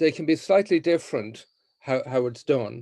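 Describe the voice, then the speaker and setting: A man speaks with an Irish accent. His pace is fairly slow. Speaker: mediator and trainer. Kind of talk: training session. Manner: hesitant, many fillers and repeats.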